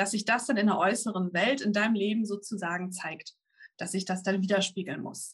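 Her voice comes through somewhat breathy. The woman speaks at a medium pitch. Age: 30s. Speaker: manifestation coach and YouTuber. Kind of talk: interview. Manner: halting.

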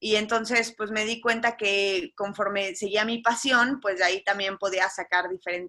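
A woman speaks at a moderate pace with hardly any pauses. Her fairly high voice has a bright, sharp tone. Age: 30s. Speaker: marketing agency owner and shipwreck survivor. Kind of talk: testimony.

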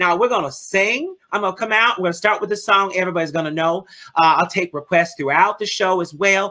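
At a very fast pace, a woman of medium pitch speaks in an animated tone with a New Orleans accent. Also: ordinary pitch variation. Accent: US Southern, New Orleans. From New Orleans, Louisiana. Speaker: drag performer and bingo host. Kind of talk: casual interview.

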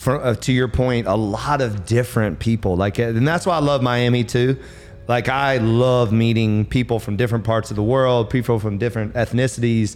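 An energetic man with an American accent at very even loudness, music playing in the background. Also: medium pitch for a man, moderate pace. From US South. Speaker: podcast host. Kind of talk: casual interview. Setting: studio with small audience.

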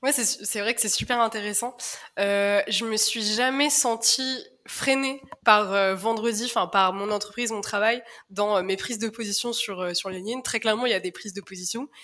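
A woman with a bright, sharp tone, fairly high pitch and moderate pace. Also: fairly even intonation. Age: 20s. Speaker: communications manager at a social startup. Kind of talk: podcast interview. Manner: halting, many fillers.

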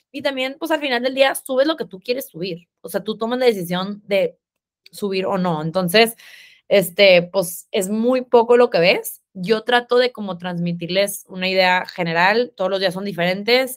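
In a northern Mexican accent, a woman speaks with medium pitch. Her intonation is lively and her pace moderate. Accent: northern Mexican sing-song. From Mexico, Monterrey. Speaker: fitness influencer and app founder. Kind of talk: casual interview chat.

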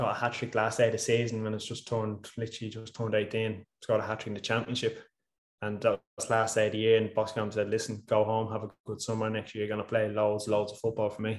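The speech is very fast and monotone, with flat intonation. Loudness rises and falls in big swings. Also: man, medium pitch for a man. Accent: Irish. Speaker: professional footballer. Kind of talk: casual interview chat.

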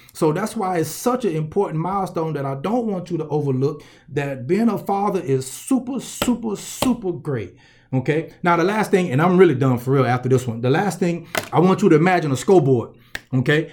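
With a Southern US accent, a man talks at a fairly quick pace in a high pitch, his intonation lively. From US South, Columbus, Georgia. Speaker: motivational speaker and coach. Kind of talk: motivational speech.

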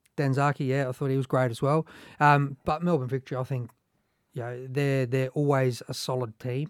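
Delivered at a fairly quick pace in an Australian accent, the voice has a monotone, flat intonation and a dry, close sound with no echo. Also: man, medium pitch for a man. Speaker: former footballer and football coach. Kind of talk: casual panel discussion.

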